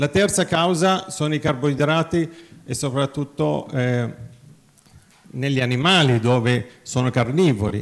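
Pausing long and often, a man speaks at a fairly slow pace with ordinary pitch variation. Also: fairly high pitch for a man. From Nazareth; Israel. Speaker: physician, cardiologist and veterinarian; conference speaker. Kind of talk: conference talk. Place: hall.

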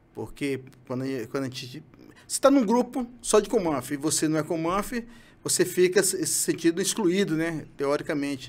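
A man with a high pitch speaks with lively intonation and big swings in loudness. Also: moderate pace. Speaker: retired marine special forces sniper. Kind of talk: interview testimony. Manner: halting. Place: studio. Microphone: studio mic.

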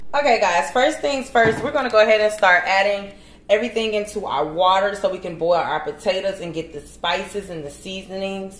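A woman talks at a fairly quick pace with hardly any pauses and big swings in loudness, with audible room echo and light background noise. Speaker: home cook host. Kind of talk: cooking tutorial. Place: kitchen. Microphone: camera far.

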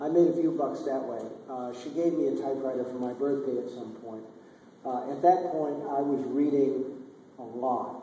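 There is audible room echo and light background noise as a man speaks at a moderate pace with fairly even intonation. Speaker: guest. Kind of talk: Q&A answer. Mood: relaxed, anecdotal, some laughs. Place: hall.

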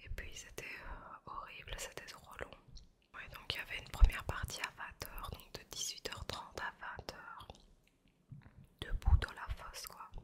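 A woman's whisper at a fairly slow pace, with long, frequent pauses and big swings in loudness. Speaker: ASMR creator. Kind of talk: ASMR chat while eating pastry. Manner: soft, slow, relaxing. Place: home room. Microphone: studio mic.

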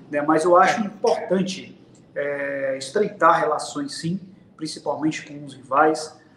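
A man's fairly high voice with ordinary pitch variation, plus light background noise and audible room echo. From Brazil. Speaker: football tactics commentator. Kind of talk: casual football talk livestream. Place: home room. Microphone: webcam.

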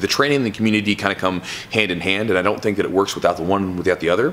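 Very fast speech from a man. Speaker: jiu-jitsu instructor. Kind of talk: casual vlog chat. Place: gym.

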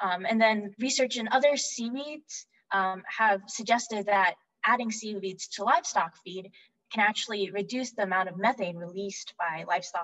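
Female speech at a moderate pace with big swings in loudness, over a quiet background. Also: ordinary pitch variation. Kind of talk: lecture. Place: home room. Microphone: webcam.

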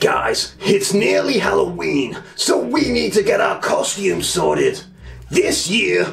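Someone talks in a cartoonish character voice at a fairly slow pace. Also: man. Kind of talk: comic puppet sketch. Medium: puppet show.

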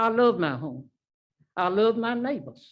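A woman with an American accent, at a medium pitch and fairly slow pace, with vocal fry. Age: 80s+. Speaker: resident speaking at public hearing. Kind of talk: public comment at council meeting. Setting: city council meeting.

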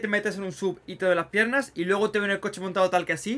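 A man speaks in a raised, projected voice with a bright, sharp tone, high pitch for a man, an animated tone and a very fast pace. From Spain. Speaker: gaming YouTuber. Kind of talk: gameplay commentary. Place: home room.

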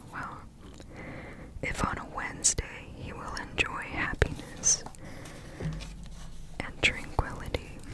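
A soft-spoken whisper at a very slow pace over loud background noise. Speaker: reader of an old superstition book. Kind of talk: reading aloud with casual comments. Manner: soft whispered ASMR reading.

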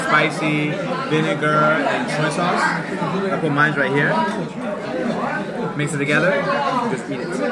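A man talks at a moderate pace. Crowd noise fills the background. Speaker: food vlogger. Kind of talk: casual vlog chat. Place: cafe. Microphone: camera far.

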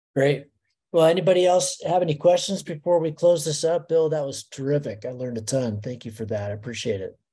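A man's somewhat breathy, dark and mellow voice, fairly high in pitch and fairly quick, against a quiet background. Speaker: race organizer and webinar host; webinar host. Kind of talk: casual chat. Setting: video call. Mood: relaxed, reflective. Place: home room.

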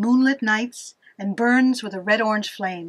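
A woman at a fairly slow pace with fairly even intonation, against a quiet background. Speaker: storyteller. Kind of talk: story reading. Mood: dramatic, eerie storytelling. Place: hall. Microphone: camera far.

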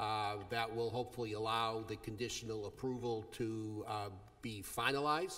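A man's monotone, flat intonation against a quiet background. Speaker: attorney addressing board. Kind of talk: public comment address. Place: meeting room. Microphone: podium.

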